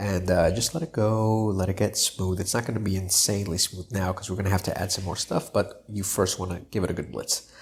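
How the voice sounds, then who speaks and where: A somewhat breathy man talks at a fairly quick pace with hardly any pauses. His pitch is fairly low, his intonation fairly even. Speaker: cooking YouTuber. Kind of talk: cooking tutorial. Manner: casual, filler-heavy.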